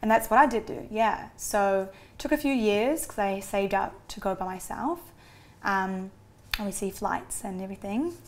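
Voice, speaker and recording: A New Zealand accent with ordinary pitch variation and big swings in loudness. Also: woman, medium pitch for a woman, moderate pace, very clean recording, silent background. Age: 20s. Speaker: adoptee. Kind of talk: interview.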